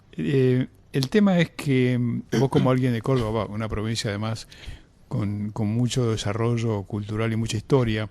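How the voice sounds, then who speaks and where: A man's dark, mellow voice at a medium pitch, with ordinary pitch variation and a moderate pace, against a quiet background. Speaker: radio host. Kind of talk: radio interview.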